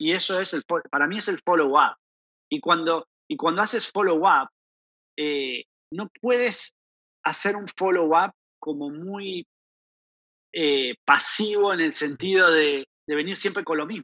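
A man's high-pitched voice with an Argentine accent, ordinary pitch variation, a fairly slow pace and long, frequent pauses. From Argentina. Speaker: proptech startup founder. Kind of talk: podcast interview. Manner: halting, repeats words.

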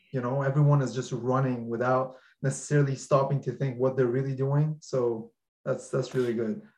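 A man speaks at a fairly quick pace in a medium pitch, sounding somewhat breathy. His intonation stays monotone and flat. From Iran. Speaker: podcast host. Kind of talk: casual interview chat. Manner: hesitant with many fillers.

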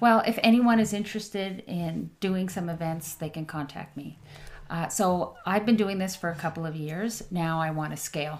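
A woman speaks in a plain, everyday voice, fairly low in pitch, with ordinary pitch variation at a moderate pace. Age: 50s. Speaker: tech CEO and social entrepreneur. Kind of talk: casual interview chat.

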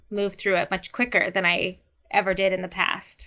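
A woman's bright, sharp tone at medium pitch, in a very clean recording with a silent background. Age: 40s. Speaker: artist and college professor. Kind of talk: personal testimony in interview.

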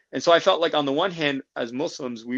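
At a fairly quick pace, a man with an American accent talks with ordinary pitch variation. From US (New Jersey area), childhood partly in Malaysia and South Korea. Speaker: tech startup co-founder. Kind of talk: interview, personal story.

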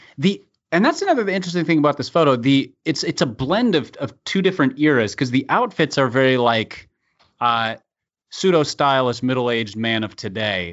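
In a plain, everyday voice, a man with fairly high pitch talks at a fairly quick pace with lively intonation. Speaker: podcast co-host. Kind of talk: casual banter. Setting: studio.

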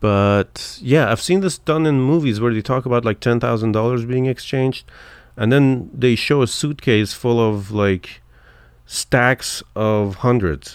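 At a fairly slow pace, a man with a non-native accent speaks at medium pitch with ordinary pitch variation and very even loudness on a very clean recording with a silent background. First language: not English. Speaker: podcast co-host. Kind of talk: casual chat.

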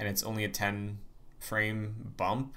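A bright, sharp voice speaks at a very slow pace with audible room echo. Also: man. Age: 20s. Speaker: podcast host. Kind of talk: casual chat.

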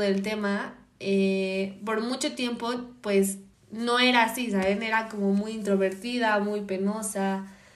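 Audible room echo surrounds the voice. The pace is fairly slow and the intonation monotone and flat. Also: woman. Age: 20s. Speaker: podcast guest, host's sister. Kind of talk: casual chat.

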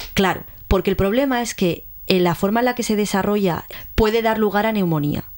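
A woman in a Madrid accent, medium pitch with ordinary pitch variation, at a fairly quick pace. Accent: Madrid Spanish (peninsular). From Madrid, Spain. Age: 20s. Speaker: science communicator, researcher. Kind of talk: radio science show, casual explanation. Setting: community radio studio.

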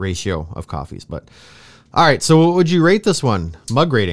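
A man's voice swings very widely in pitch. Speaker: podcast co-host. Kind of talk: casual chat. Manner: laughs often, casual, filler-heavy.

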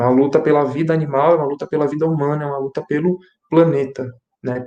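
Very fast and fairly even in intonation, a man speaks with a fairly high pitch and a dark, mellow tone. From Brazil, Greater São Paulo. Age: 20s. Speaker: student and YouTuber. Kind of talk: online panel discussion.

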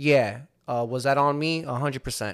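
On a very clean recording with a silent background, the speaker talks at a fairly slow pace with a New Jersey accent. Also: man. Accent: New Jersey American. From Hudson County, New Jersey. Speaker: podcast host. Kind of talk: casual chat.

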